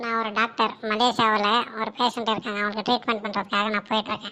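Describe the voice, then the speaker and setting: Using a cartoonish character voice, a woman speaks at a fairly quick pace and fairly high pitch with monotone, flat intonation. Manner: sharp, no-nonsense.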